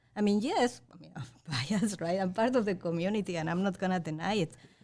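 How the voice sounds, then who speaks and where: This woman speaks at a fairly quick pace. Her pitch is medium, with ordinary variation. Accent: Spanish. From Mexico. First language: Spanish. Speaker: journalism professor. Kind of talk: panel discussion.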